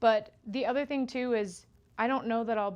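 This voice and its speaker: A woman with a Utah accent talks against a quiet background. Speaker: quilter. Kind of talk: live stream tutorial. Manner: casual, chatty.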